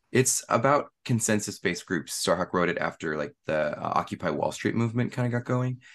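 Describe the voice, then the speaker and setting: A man's medium-pitched voice with an American accent, vocal fry and lively intonation, fairly quick with hardly any pauses, over a quiet background. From US West Coast, San Francisco Bay Area. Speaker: tarot author. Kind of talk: casual interview.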